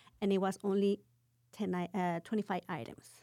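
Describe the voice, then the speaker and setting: Speaking with a Mexican accent, a woman uses a dark, mellow tone at medium pitch and a moderate pace. Her intonation is monotone and flat, and the recording is very clean with a silent background. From Cuernavaca, Morelos, Mexico. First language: Spanish. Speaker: restaurant owner. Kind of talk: casual interview.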